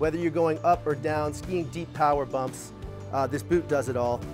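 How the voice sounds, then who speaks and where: A man's voice is heard with clear music playing behind it. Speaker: brand sales rep. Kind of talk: product presentation. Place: shop. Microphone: lapel.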